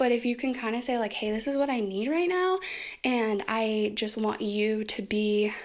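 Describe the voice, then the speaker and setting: Her pitch runs fairly high for a woman. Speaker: self-help video creator. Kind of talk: casual personal talk on healing. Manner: fast.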